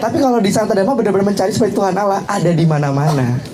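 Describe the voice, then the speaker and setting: There is audible room echo and noticeable background noise. A man talks very fast with lively intonation. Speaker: university student. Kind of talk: promotional talk.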